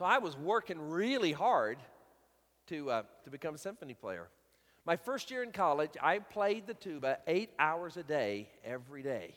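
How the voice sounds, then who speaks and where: A man speaks in a Southern US accent at a moderate pace. His fairly high pitch swings very widely. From US South, Alabama. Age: 50s. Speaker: guest preacher. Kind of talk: sermon. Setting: church.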